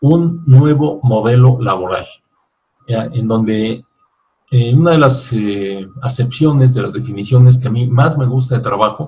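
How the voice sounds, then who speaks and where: A somewhat breathy man's voice at medium pitch, with ordinary pitch variation and a moderate pace. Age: 60s. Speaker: author and business lecturer. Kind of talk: virtual book fair talk.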